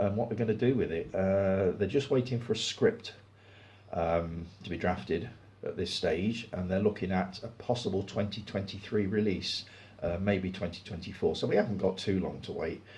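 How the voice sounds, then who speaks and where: Somewhat breathy and relaxed in tone, a man with a fairly low pitch speaks at a moderate pace with fairly even intonation. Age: 60s. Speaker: film review YouTuber. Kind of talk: casual chat. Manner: relaxed pace.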